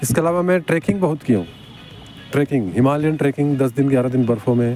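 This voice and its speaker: Over music in the background, a man with a fairly high pitch speaks at a moderate pace with lively intonation. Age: 70s. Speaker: car mechanic and athlete. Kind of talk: interview answer.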